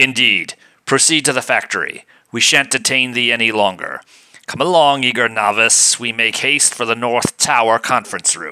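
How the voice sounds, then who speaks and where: This man is doing a put-on character voice. It lands at a medium pitch. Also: moderate pace, ordinary pitch variation. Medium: read story. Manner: stiff archaic formal speech.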